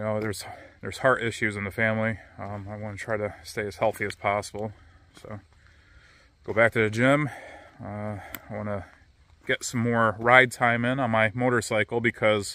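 A man speaks in a fairly low voice with flat, monotone intonation and long, frequent pauses. The sound is dry, with no echo. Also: moderate pace. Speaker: vlogger. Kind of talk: casual vlog chat. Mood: reflective, personal. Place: waterside. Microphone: phone near.

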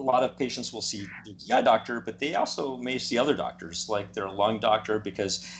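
The voice carries vocal fry and ordinary pitch variation. Light background noise can be heard. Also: man. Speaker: guest. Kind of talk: interview answer. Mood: calm, explanatory. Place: home room. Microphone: video call.

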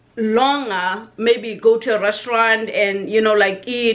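Fairly slow in pace, this woman talks on. Her intonation is fairly even. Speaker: vlogger. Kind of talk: casual vlog chat. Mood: warm, reminiscing tribute. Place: home room. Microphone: webcam.

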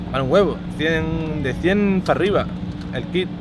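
A man's voice comes across dry with no echo, beneath loud background noise. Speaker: car vlogger. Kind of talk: casual vlog chat. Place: car. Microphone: phone near.

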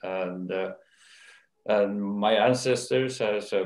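Audible room echo surrounds a man with a Norwegian accent. His pitch is fairly low and his intonation fairly even. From Norway. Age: old. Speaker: company owner and chairman; interviewee. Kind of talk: interview. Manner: hesitant, many fillers. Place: home room. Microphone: video call.

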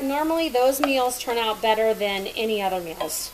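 Over light background noise, a woman with a high pitch talks at a moderate pace with ordinary pitch variation. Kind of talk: casual cooking tutorial chat. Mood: relaxed, chatty. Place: kitchen. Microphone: camera far.

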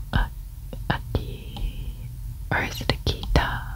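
The speaker is whispering and soft-spoken. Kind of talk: thinking aloud while solving a puzzle. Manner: soft hesitant ASMR whisper.

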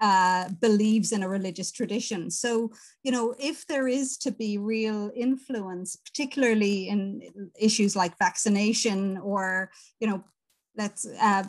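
Speaking fairly slowly with an Irish accent, a woman uses ordinary pitch variation. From Ireland. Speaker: professor of ethics and religion; professor guest. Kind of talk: interview answer. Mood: thoughtful, engaged. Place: home room. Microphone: video call.

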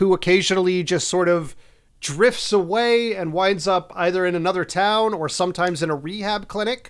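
At a moderate pace and with ordinary pitch variation, the voice comes through over a quiet background. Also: man. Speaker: podcast co-host. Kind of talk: plot summary for a film podcast. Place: home room.

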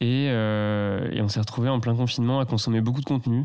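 A man's dark, mellow tone at a fairly quick pace, with fairly even intonation. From France, Loire valley near Tours. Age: 20s. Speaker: eco entrepreneur and designer. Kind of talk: casual interview. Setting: host's living room.

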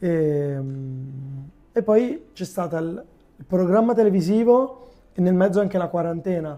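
The speech comes at a fairly slow pace with long, frequent pauses and ordinary pitch variation. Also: man, high pitch for a man. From Lombardy, Milan area (Arluno); Lombardy. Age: 20s. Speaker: youtuber and amateur footballer; youtuber. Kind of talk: casual interview. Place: studio. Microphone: lapel.

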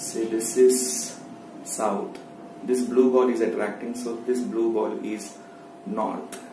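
Amid noticeable background noise and audible room echo, a man speaks very slowly with fairly even intonation. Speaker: science teacher. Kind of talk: tutorial. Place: home room. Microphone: phone near.

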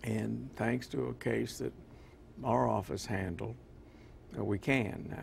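A man speaks in a very deep, low voice with very wide pitch swings, at a very slow pace. Long, frequent pauses break up his speech over light background noise. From military family, moved around; grew up largely in Kentucky. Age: 70s. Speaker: retiring county prosecutor; interview guest. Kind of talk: TV interview. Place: studio.

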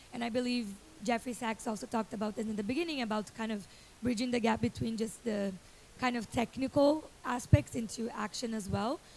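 Over music in the background, a woman talks at a fairly quick pace with a fairly high pitch and ordinary pitch variation. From Brazil. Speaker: youth climate activist, nonprofit founder. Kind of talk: panel discussion. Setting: stage with audience. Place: stage. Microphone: handheld.

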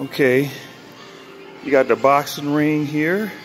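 Faint music plays in the background. Over it, a man speaks with monotone, flat intonation. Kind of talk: casual vlog chat. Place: gym. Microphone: phone near.

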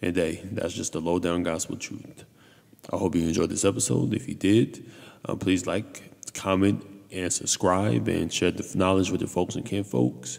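A man with a very deep, low voice talks at a moderate pace. His intonation is lively, with vocal fry. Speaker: podcast host. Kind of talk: casual podcast commentary. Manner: hesitant with fillers.

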